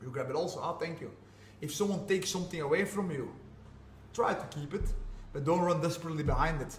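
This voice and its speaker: Speaking very fast at a high pitch, a man with a Flemish Belgian accent uses an animated tone broken by long, frequent pauses. Noticeable background noise and audible room echo fill the recording. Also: ordinary pitch variation. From Belgium (Flanders). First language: Flemish (Dutch). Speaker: jiu-jitsu and MMA fighter. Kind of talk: podcast interview. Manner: animated, repetitive.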